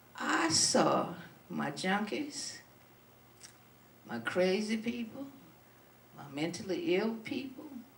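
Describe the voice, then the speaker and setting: Speaking in an American accent at a very slow pace, with long, frequent pauses and very wide pitch swings, the voice comes through noticeable background noise and audible room echo. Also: woman, medium pitch for a woman. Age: 70s. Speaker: community activist. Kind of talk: speech to an audience. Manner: halting.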